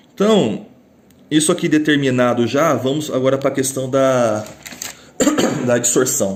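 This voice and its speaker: A man puts on a hoarse character voice at a medium pitch and a moderate pace. His loudness stays very even, broken by long, frequent pauses. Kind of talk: teaching, lecture.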